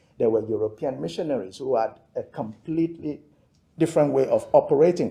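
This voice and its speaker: A man with a Yoruba accent at a fairly quick pace. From Nigeria (Yoruba). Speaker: theologian and author. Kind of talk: lecture. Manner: measured, with hesitations.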